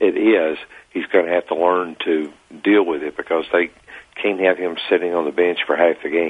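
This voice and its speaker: With monotone, flat intonation, a man speaks at a moderate pace in a very deep, low pitch. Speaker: sports columnist guest. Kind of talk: casual sports talk interview.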